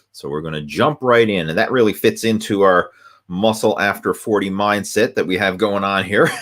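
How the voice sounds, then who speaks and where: In a plain, everyday voice, a man keeps to a moderate pace, his pitch varying in an ordinary way. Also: fairly low pitch for a man. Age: 40s. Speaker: fitness coach. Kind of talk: live video Q&A. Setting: live video stream.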